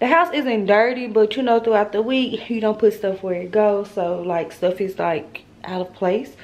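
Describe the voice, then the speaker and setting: The pace of this woman's speech is moderate. Her pitch shows ordinary variation. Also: hardly any pauses. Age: 20s. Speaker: vlogger. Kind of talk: casual vlog talk to camera. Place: kitchen. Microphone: phone near.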